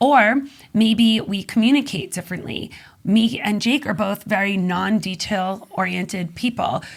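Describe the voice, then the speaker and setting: Ordinary pitch variation in a somewhat breathy voice. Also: woman, medium pitch for a woman. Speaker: magazine publisher and business consultant. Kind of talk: podcast interview. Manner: fast.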